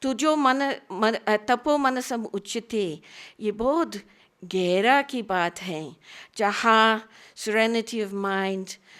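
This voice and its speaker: Against a very clean, silent background, a woman with a non-native accent speaks at a fairly high pitch with lively intonation. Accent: non-native Hindi. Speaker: conference speaker on Indian philosophy. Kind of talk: academic lecture.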